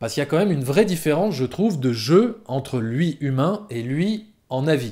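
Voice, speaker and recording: The recording is very clean with a silent background, carrying a man's dark, mellow tone. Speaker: film critic YouTuber. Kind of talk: film review monologue. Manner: hesitant with fillers.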